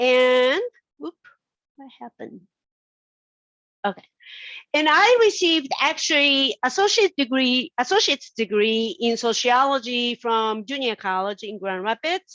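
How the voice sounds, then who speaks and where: A woman with a Japanese accent, high in pitch with a bright, sharp tone and lively intonation, at a fairly slow pace with long, frequent pauses and big swings in loudness, in a dry, close sound with no echo. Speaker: sociology professor. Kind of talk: invited talk.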